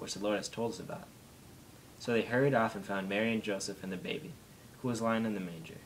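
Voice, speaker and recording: Light background noise sits under a man's voice. He talks at a fairly quick pace with a fairly low pitch and ordinary pitch variation. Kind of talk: reading aloud a nativity passage. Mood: calm, steady holiday reading. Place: home room.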